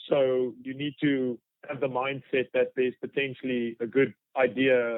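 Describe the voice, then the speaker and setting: A man at a medium pitch speaks in a South African accent with monotone, flat intonation. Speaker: fly fishing guide. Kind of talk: podcast interview. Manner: halting, many fillers.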